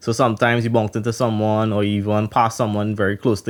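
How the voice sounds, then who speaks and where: The voice is a man's, pitched medium. He goes at a very fast pace. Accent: Trinidadian. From Trinidad. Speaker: podcast co-host. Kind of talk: casual podcast chat.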